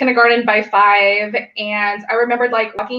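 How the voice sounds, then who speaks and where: Moderate-paced speech from a woman, pitched fairly high, amid noticeable background noise. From US South, Alabama. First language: Vietnamese. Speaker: missile defense engineer. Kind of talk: panel discussion.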